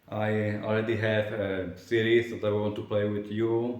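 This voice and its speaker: Someone with a non-native accent speaks at a very slow pace amid audible room echo. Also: man. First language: not English. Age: 20s. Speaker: vlogger. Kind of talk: casual vlog monologue. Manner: halting, many fillers and restarts.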